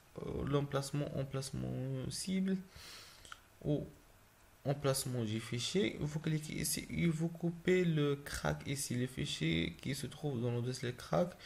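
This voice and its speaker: A man speaks at a very slow pace with a non-native accent. His fairly high voice is somewhat breathy, with ordinary pitch variation. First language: not French (speaking French). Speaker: gaming YouTuber. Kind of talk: tutorial. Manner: halting.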